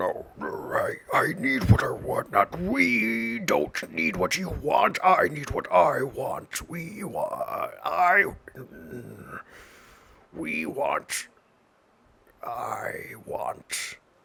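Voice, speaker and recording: In a put-on character voice, a man speaks raspily at a very slow pace. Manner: insistent, demanding.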